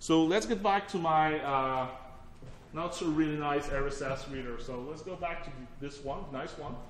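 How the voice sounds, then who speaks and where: A man speaks with lively intonation. There is audible room echo and noticeable background noise. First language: French. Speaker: technology evangelist, workshop presenter. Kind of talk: technical workshop presentation. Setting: workshop room with audience. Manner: casual, conversational with fillers.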